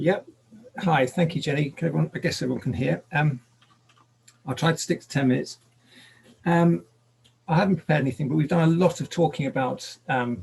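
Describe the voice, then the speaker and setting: A man speaks at a fairly quick pace and fairly high pitch, with vocal fry. Long, frequent pauses break up his speech. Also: ordinary pitch variation. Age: 60s. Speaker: climate activist. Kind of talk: unprepared talk. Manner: halting, many fillers.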